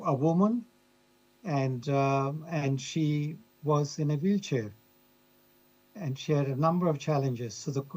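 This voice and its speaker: Using a fairly high pitch, a man talks at a fairly slow pace in a somewhat breathy voice with ordinary pitch variation and long, frequent pauses. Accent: Australian. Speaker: professor of museum studies. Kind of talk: conference talk. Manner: halting.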